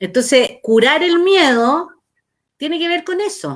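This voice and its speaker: A woman is speaking. Her tone is bright and sharp. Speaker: life coach / therapist hosting talk. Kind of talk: casual chat.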